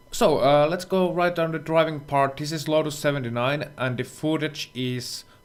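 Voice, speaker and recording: A man speaks with a non-native accent at a moderate pace. His pitch varies in an ordinary way. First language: not English. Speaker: sim racing instructor. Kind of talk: tutorial.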